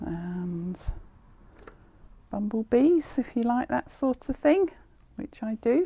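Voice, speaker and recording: A woman's dark, mellow, somewhat breathy voice, very slow in pace, with very wide pitch swings. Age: 60s. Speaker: haberdashery shop owner. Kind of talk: product showcase video. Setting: in a shop. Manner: casual, chatty.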